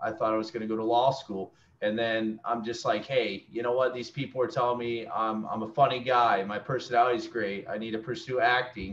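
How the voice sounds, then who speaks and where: A normal speaking voice moves at a fairly quick pace with hardly any pauses. The intonation stays fairly even. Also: man, medium pitch for a man. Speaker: student. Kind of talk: casual chat. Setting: video call.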